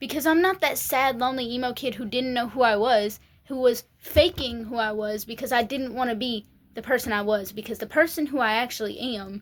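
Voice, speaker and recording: A woman speaks with a Tennessee accent. Her pitch is high. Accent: Southern US (Tennessee). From US South, Tennessee. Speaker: vlogger. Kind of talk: rant. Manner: animated.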